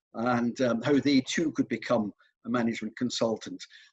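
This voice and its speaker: A man in a Glasgow accent speaks with ordinary pitch variation. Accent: Scottish (Glasgow). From Scotland, Glasgow. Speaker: careers consultant. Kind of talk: interview.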